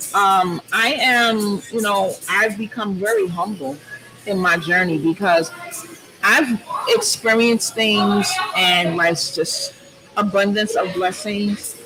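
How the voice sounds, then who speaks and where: Amid noticeable background noise, the speech comes very slowly with long, frequent pauses. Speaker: talk show guest. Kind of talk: casual chat. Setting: large loud room with audience. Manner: loud.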